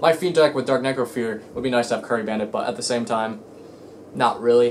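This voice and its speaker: Very fast speech with noticeable background noise. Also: man. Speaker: card game YouTuber. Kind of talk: casual vlog rant. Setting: home, in own room. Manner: halting, stuttering.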